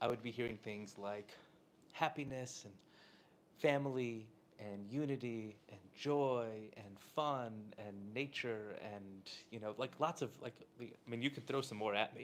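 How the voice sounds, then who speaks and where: A soft-spoken man talks at a fairly slow pace with long, frequent pauses. His pitch is medium with ordinary variation, and his loudness swings widely. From Southern California. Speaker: rabbi and inspirational speaker. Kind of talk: inspirational talk to a live audience. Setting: room with live audience.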